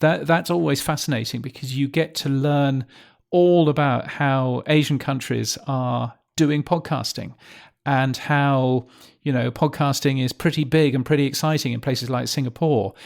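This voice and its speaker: A man speaks with a British accent and fairly even intonation. The recording is very clean, with a silent background. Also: fairly high pitch for a man, moderate pace. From Britain. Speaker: podcast newsletter publisher. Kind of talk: interview. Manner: halting, many fillers.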